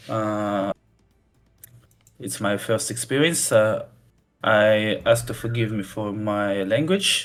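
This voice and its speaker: Music plays behind a man speaking very slowly, with long, frequent pauses. His voice is fairly low, and his intonation is fairly even. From Russia. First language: Russian. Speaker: custom campaign creator for a strategy game. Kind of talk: interview. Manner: halting, many fillers.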